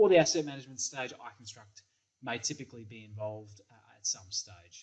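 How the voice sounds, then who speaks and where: A man with an Australian accent talks at a fairly quick pace, his pitch varying in an ordinary way. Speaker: software company engineering principal. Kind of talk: recorded product presentation. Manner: hesitant, many fillers and repeats.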